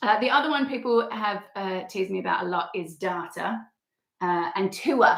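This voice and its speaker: Someone speaks with an Australian accent at a moderate pace. The intonation is lively. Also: woman, medium pitch for a woman. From rural Australia. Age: 30s. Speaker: travel vlogger. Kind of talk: casual chat. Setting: livestream.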